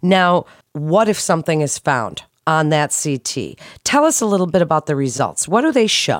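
With an unremarkable speaking voice, a woman talks at a moderate pace and a fairly low pitch with lively intonation, the sound dry and close with no echo. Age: 50s. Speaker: health podcast host. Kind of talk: interview.

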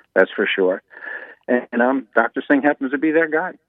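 This is a man speaking. His pace is fairly quick. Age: 60s. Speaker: patient. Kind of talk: interview, personal story. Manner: halting, candid.

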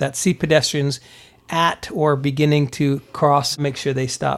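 On a very clean recording with a silent background, a man with an American accent speaks in an ordinary speaking voice of fairly high pitch. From Germany (US military family), Pennsylvania. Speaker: police detective. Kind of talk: interview. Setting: studio.

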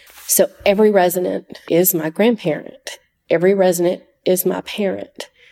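A woman with a Southern US accent speaks at a moderate pace. Her pitch is medium and her intonation fairly even. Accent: Southern US (Georgia). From US South, Georgia (Oconee County). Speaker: nurse. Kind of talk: testimony.

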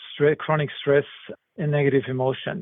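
A man speaks with a German accent and fairly even intonation. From Germany. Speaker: medical research professor. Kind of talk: interview. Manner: halting, many fillers.

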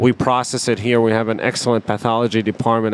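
Against noticeable background noise, a man talks at a very fast pace and a medium pitch. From Palestine. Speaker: neurosurgeon. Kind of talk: medical explainer interview.

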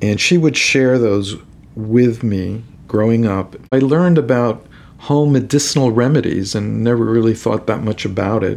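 In an American accent, an ordinary speaking voice moves at a moderate pace with ordinary pitch variation. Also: man, medium pitch for a man. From New York City. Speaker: rheumatologist. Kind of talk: interview.

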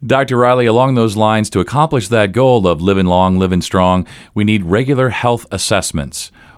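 A man speaks in a plain, everyday voice, fairly low in pitch with ordinary pitch variation and very even loudness. His moderate pace has hardly any pauses, and the recording is very clean with a silent background. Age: 50s. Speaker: podcast host. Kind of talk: interview.

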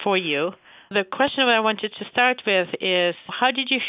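In a normal speaking voice, a woman keeps a moderate speed, her pitch moving in an ordinary way. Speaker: doctor. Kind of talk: casual interview.

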